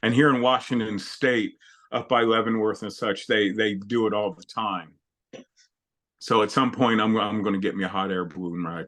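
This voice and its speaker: A man with an ordinary speaking voice, fairly low in pitch, at a moderate pace with ordinary pitch variation. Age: 60s. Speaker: retired chef and weight loss client. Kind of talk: interview conversation. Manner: casual, conversational.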